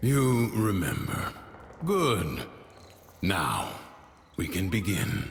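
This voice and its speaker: A man's put-on character voice, fairly low, with very wide pitch swings, a very slow pace and long, frequent pauses. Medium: fan dub. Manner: measured, calm.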